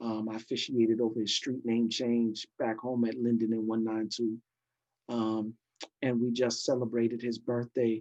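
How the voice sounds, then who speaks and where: A man with an American accent, medium-pitched, at a moderate pace, in a flat monotone. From New York City (Brooklyn and Queens). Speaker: pastor and former hip hop hype man. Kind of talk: casual interview.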